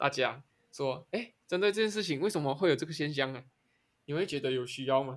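The speech runs at a very fast pace with lively intonation. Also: man. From Malaysia. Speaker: podcast co-host. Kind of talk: casual chat. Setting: face-to-face studio recording.

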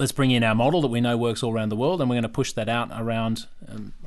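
With an Australian accent, a man talks very fast at a medium pitch with ordinary pitch variation. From Victoria, Australia (Yarra Glen). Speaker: property developer. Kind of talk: casual interview. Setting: studio.

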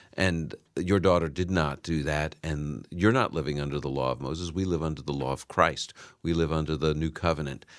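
Fairly quick pace in a New York accent, fairly even intonation, quiet background. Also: man, very deep, low pitch for a man. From New York, Brooklyn. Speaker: Bible professor and radio Bible teacher. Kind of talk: radio interview with listener calls. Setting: radio studio.

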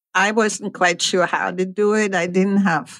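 The delivery has a plain, everyday voice at a moderate pace. Its pitch varies in an ordinary way. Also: woman. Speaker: former bank teller. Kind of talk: interview testimony.

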